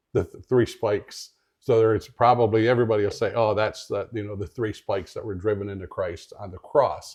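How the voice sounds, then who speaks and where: Over a quiet background, a man talks at a fairly quick pace with hardly any pauses, his loudness swinging widely. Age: 60s. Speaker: radio show host. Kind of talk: radio interview. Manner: enthusiastic.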